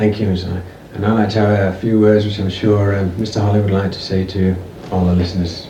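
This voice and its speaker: Amid audible room echo and noticeable background noise, a man with a northern English accent talks at a very fast pace in a fairly low, monotone, flat delivery. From northern England, Cheshire. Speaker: amateur interviewer on a music tour. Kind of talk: recorded interview and spoken message to listeners. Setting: home of the interviewees. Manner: halting, many fillers. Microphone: old amateur recording, poor quality.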